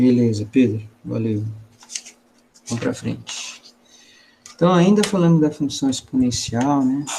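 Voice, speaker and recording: With long, frequent pauses, a man talks at a fairly slow pace, his medium pitch carried by lively intonation. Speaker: math teacher. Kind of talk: online class lecture. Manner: casual, colloquial.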